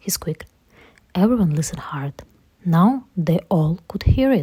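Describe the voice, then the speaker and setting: Somewhat breathy, a woman with a non-native accent speaks fairly slowly in a medium pitch, her intonation lively. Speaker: parent reading to her child. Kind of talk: children's picture book read-aloud.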